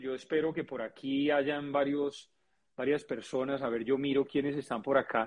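Fairly slow speech from a man, fairly high in pitch. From Colombia. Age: 40s. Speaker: physician and network marketer. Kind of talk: interview.

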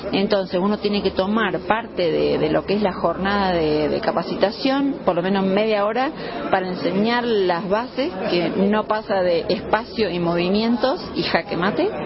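Over noticeable background noise and audible room echo, a woman with a Rioplatense accent talks at a moderate pace and medium pitch, with ordinary pitch variation and hardly any pauses. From Argentina, Buenos Aires. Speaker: chess teacher. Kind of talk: interview.

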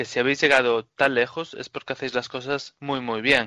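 A man speaks at a moderate pace in a medium pitch with a bright, sharp tone. The sound is dry and close, with no echo. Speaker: podcast host. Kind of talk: interview.

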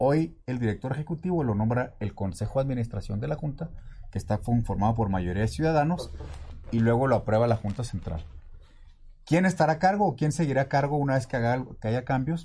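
A man of medium pitch has a dark, mellow, somewhat breathy tone. He talks fairly quickly with lively intonation. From Mexico City. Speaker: water utility director and politician. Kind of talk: interview.

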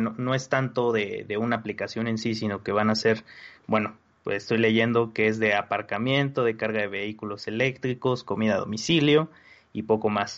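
A man with an ordinary speaking voice talks at a medium pitch. His pace is moderate and his intonation fairly even. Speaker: tech podcast panelist. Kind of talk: casual chat.

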